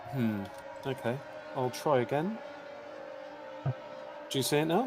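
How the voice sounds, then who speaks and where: Music plays behind a man speaking at a fairly slow pace. His loudness stays very even. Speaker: sim racing co-commentator. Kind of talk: live commentary. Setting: live stream.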